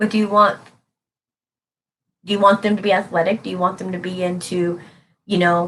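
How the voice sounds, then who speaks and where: With long, frequent pauses, a woman talks at a medium pitch in a monotone, flat intonation. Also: fairly quick pace. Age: 30s. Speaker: tarot reader. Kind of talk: live stream reading. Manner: casual, conversational.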